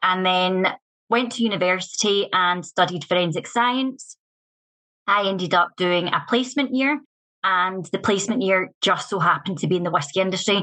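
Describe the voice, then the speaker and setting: Bright and sharp in tone, a woman's medium-pitched voice keeps very even loudness, ordinary pitch variation, and a moderate pace. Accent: Scottish. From Scotland, west coast near Glasgow. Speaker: whisky master blender. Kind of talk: podcast interview. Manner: casual, with fillers.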